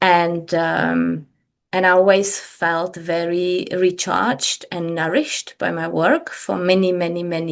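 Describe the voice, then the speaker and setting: A woman speaks with a Czech accent. Her pace is fairly slow. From Czech Republic, Prague. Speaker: business coach. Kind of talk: podcast interview. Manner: hesitant, with many fillers.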